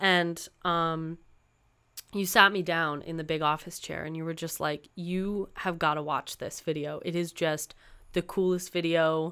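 On a very clean recording with a silent background, a woman talks at a moderate pace. Her fairly low pitch carries a bright, sharp tone and fairly even intonation. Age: 20s. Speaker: podcast host and musician. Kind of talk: casual chat. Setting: home recording with windows open.

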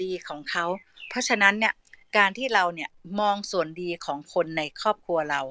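Her tone is bright and sharp. The recording sounds dry and close, without any echo. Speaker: retired civil servant and mother sharing parenting experience. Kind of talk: online talk show conversation. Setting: audio chat room.

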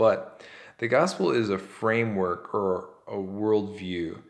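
A man talks with fairly even intonation. His pitch sits fairly low. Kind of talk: solo devotional talk. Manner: relaxed, chilled out.

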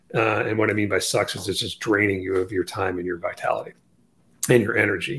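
This is a man's voice. It sounds somewhat breathy, with ordinary pitch variation. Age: 50s. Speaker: orthopedic surgeon and author. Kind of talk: interview.

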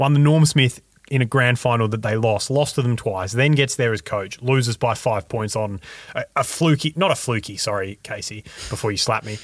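A man at medium pitch speaks at a moderate pace on a very clean recording with a silent background. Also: ordinary pitch variation. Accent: Australian. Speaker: student journalist and podcaster. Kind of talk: casual chat.

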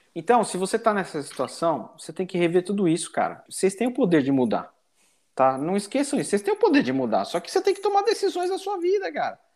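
A man at a very fast pace, in a very clean recording with a silent background. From Brazil, São Paulo. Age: 40s. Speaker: business executive. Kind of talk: casual interview chat.

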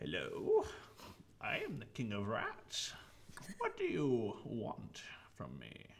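Using a put-on character voice, a man speaks at a very slow pace. He leaves long, frequent pauses over clear background noise. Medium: actual play. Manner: creepy, wheedling, then commanding.

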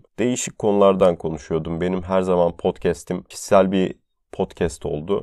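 A man's very deep, low voice with a dark, mellow tone, in a dry, close sound with no echo and a quiet background. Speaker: podcast host and medical intern. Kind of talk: solo podcast monologue. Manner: fluent.

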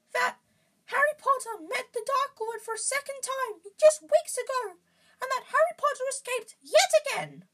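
A put-on character voice, extremely high-pitched, at a moderate pace

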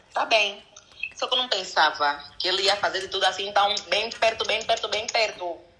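A woman speaks at a moderate pace with a medium pitch and lively intonation. Noticeable background noise runs underneath. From DR Congo. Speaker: entrepreneur. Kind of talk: casual chat.

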